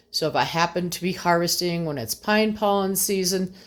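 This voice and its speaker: A woman with an unremarkable speaking voice, fairly low pitch, ordinary pitch variation and a moderate pace. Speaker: home gardener and homesteader. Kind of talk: tutorial. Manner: casual with fillers.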